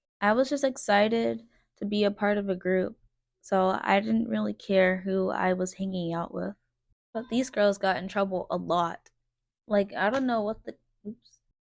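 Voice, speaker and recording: Against a quiet background, a woman talks at medium pitch and a moderate pace with ordinary pitch variation. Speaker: vlogger. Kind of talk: personal storytelling vlog. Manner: quiet, reserved.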